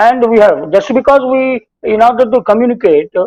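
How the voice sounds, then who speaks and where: A man with an Indian accent talks at a high pitch. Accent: Indian English, Telugu. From India, Telugu-speaking region. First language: Telugu. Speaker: spiritual teacher and behavioral science professor. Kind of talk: talk on scripture mixing English and Hindi. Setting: TV talk show. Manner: halting with frequent fillers.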